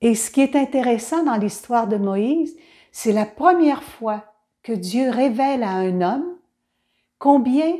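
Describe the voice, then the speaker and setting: In a Quebec accent, a woman speaks very slowly in a high voice, dark, mellow, warm and gentle in tone, with ordinary pitch variation. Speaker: children's Bible storyteller. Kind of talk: storytelling and reflection for children. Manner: warm, gentle address to children.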